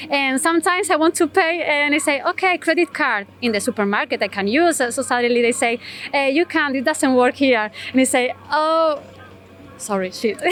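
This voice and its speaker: High-pitched woman with a Spanish accent, long frequent pauses, a dry, close sound with no echo. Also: lively intonation, fairly quick pace, very even loudness. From Spain. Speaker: interviewee, foreign resident. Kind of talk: street interview. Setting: outdoors on a Tokyo street. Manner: halting, many fillers.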